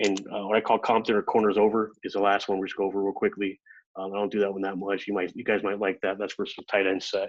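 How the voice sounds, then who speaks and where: A man's fairly low voice, very fast and flat, in a monotone. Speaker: football coach. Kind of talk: coaching clinic presentation.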